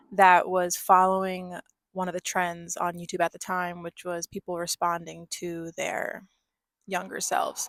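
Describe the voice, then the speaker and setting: A woman with an American accent speaks at a fairly slow pace and a medium pitch. The sound is dry and close with no echo, on a very clean recording with a silent background. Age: 20s. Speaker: vlogger. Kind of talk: casual vlog monologue. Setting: in a car.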